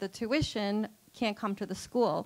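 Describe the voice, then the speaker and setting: At a moderate pace, a woman speaks in a medium pitch with monotone, flat intonation on a very clean recording with a silent background. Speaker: school founder or director. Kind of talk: interview. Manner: hesitant, many fillers.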